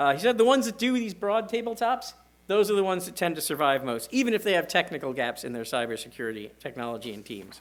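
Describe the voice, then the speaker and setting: With a high pitch, very wide pitch swings and big swings in loudness, a man talks at a very fast pace. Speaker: security director giving a conference talk. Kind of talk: conference presentation.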